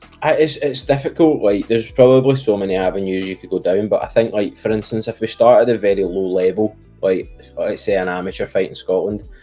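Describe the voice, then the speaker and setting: A man talking at a very fast pace with big swings in loudness, music in the background. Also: hardly any pauses. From Scotland. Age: young. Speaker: professional MMA fighter. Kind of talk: interview answer.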